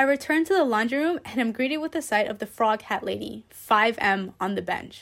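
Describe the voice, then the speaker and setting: In a plain, everyday voice, a woman with an American accent talks at a moderate pace with lively intonation on a very clean recording with a silent background. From Queens, New York. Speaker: student author. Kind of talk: reading aloud.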